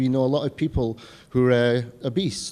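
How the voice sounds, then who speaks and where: Very fast speech comes from a man with a medium-pitched voice and a dark, mellow tone. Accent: American. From Scotland. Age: 40s. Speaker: health coach and vegan chef. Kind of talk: health talk to an audience.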